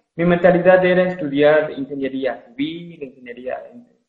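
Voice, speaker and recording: A man talks at a fairly slow pace with ordinary pitch variation. He has a plain, everyday voice. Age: 20s. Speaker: recent accounting graduate. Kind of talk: interview.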